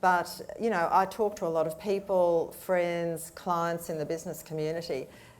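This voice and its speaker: An Australian accent marks this woman's fairly low-pitched voice. She speaks at a moderate pace with audible room echo. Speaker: panelist, business communication advisor. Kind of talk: panel discussion. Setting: stage with audience.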